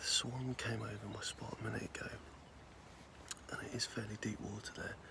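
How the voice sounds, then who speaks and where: A whispering man with an English accent, at a moderate pace, with noticeable background noise. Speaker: angler and video creator. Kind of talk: casual vlog to camera. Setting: outdoors at a lake. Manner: soft-spoken; hesitant, many fillers.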